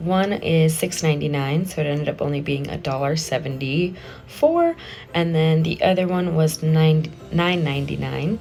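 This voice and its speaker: A woman's very deep, low voice with fairly even intonation, amid noticeable background noise. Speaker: craft youtuber. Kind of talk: tutorial. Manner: casual, with fillers.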